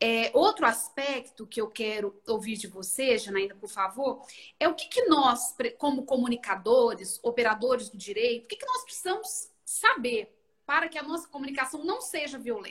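Her voice is high, with lively intonation and big swings in loudness. The woman keeps a moderate pace. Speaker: law professor, host. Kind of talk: interview.

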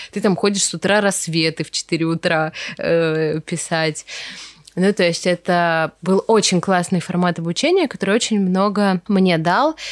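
An ordinary speaking voice from a woman, medium in pitch and fairly slow, with ordinary pitch variation and very even loudness, in a very clean, dry, close recording with no echo and a silent background. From Russia, Veliky Novgorod. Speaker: wedding decor studio founder. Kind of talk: casual interview chat.

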